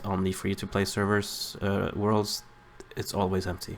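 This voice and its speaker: A man mumbles at a fairly low pitch. His pace is moderate. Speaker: gaming video creator. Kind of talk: gameplay commentary. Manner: mumbling; halting.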